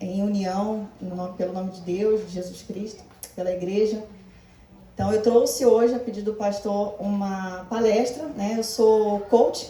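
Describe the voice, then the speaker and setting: A woman speaks at a medium pitch with fairly even intonation but big swings in loudness. The recording has audible room echo and noticeable background noise. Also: fairly slow pace. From Brazil, Rio de Janeiro. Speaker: life coach and therapist. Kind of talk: church talk / motivational lecture.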